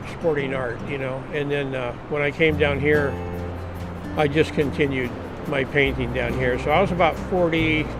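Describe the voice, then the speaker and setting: A man's fairly high voice with an American accent at a moderate pace, with noticeable background noise and audible room echo. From Southern California (San Diego). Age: 70s. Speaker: retired fisherman and painter. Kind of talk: casual interview monologue. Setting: outdoors at the beach.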